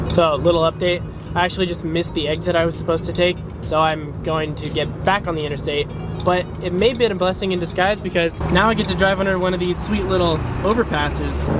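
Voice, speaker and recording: A man shouts loudly at a very fast pace and a high pitch. His intonation is fairly even, with noticeable background noise behind him. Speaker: car YouTuber. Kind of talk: casual vlog. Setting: in a car. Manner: loud, yelling over car noise.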